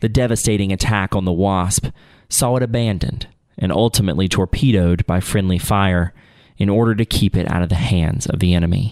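A man talks fairly quickly in an unremarkable speaking voice, fairly low in pitch with ordinary pitch variation and very even loudness. The recording is very clean, with a silent background. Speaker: podcast host. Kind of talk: history documentary narration, then casual interview. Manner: solemn, measured, formal storytelling.

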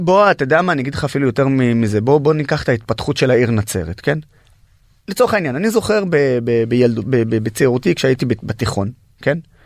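A man with a fairly high voice speaks in an Arabic accent. His intonation is lively and his pace is moderate. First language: Arabic (speaking Hebrew). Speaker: activist and social media influencer, wounded army veteran. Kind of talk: interview.

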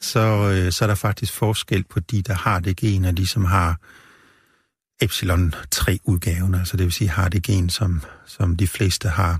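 Very slow and somewhat breathy, a man's very deep, low voice holds a fairly even intonation, dry and close with no echo on a very clean recording with a silent background. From rural central Jutland, Denmark. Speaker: medical professor and brain researcher. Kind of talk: interview. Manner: halting, many fillers.

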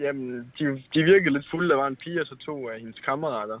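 A man's fairly high-pitched voice, with lively intonation and a fairly quick pace. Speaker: caller. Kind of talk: anecdote told on call-in show.

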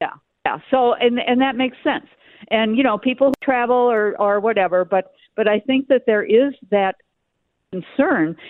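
With an American accent, a woman speaks at a moderate pace in a high pitch with lively intonation. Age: 70s. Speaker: caller. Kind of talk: casual chat. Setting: phone call.

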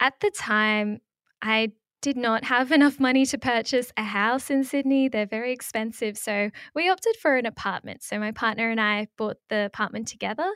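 With an Australian accent, a woman speaks at a moderate pace in a fairly high voice with ordinary pitch variation, the sound dry and close with no echo on a very clean recording with a silent background. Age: 20s. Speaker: personal finance content creator. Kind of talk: interview.

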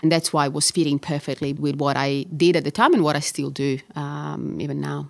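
A woman with an Italian accent talks at a fairly quick pace. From Catania, Sicily, Italy. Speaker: orthopaedic surgeon and researcher. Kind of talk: interview conversation.

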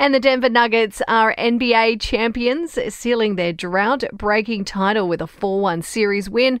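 The pitch varies in an ordinary way. It is an unremarkable speaking voice. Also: woman. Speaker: news podcast presenter. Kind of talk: formal newsreading, scripted bulletin. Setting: studio. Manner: brisk, even and authoritative; measured and businesslike.

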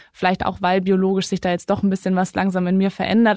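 A woman is speaking. The sound is dry and close with no echo, over a quiet background. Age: 20s. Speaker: climate activist and carbon management consultant. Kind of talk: interview.

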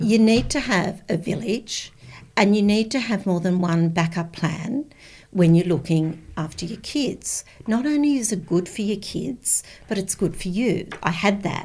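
A woman with an Australian accent speaks at a fairly slow pace in a somewhat breathy voice, with medium pitch and lively intonation, on a very clean recording with a silent background. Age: 60s. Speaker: former school principal. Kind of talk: casual chat.

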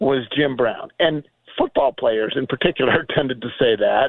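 Using a normal speaking voice, a man of medium pitch talks at a fairly slow pace with lively intonation. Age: 60s. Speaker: newspaper columnist and radio host. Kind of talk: casual chat.

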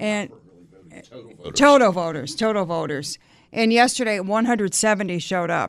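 This woman has a plain, everyday voice pitched fairly high. She talks at a moderate pace with lively intonation. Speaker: radio talk show host. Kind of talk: talk radio interview. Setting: radio studio.

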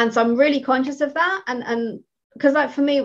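This woman has a British accent and a high pitch. Her intonation stays fairly even. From Britain. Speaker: career coach. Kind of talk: interview.

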